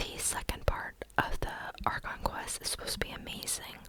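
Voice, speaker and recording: The voice is a whisper, and noticeable noise sits in the background. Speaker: ASMR content creator. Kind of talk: ASMR gaming whispered rambling; casual talk to camera. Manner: whispered, rambling.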